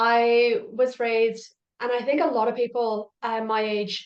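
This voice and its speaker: With an Irish accent, a woman speaks with fairly even intonation. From Ireland. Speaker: parent coach. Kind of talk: podcast interview.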